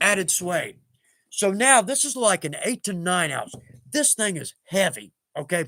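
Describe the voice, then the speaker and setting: With an American accent, a man speaks at a moderate pace in a high pitch, his bright, sharp tone animated and his voice raised and projected, ranging through very wide pitch swings over a very clean, silent background with a dry, close sound and no echo. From East Texas. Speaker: leathercraft live-stream host. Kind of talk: live stream tutorial chat.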